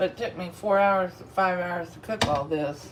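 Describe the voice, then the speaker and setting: A woman with a Texas accent at a fairly slow pace, against noticeable background noise. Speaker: food vlogger and comedian. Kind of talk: casual live-stream chat while eating.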